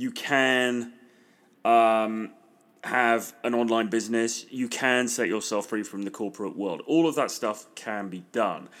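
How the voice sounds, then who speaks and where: Recorded very cleanly against a silent background, a man with a British accent sounds enthusiastic, speaking fairly slowly at a medium pitch. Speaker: podcast host and dating and business coach. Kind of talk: solo podcast monologue promoting a free course.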